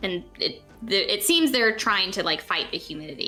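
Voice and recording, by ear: Someone is reading aloud in a natural voice. The words are read from a text.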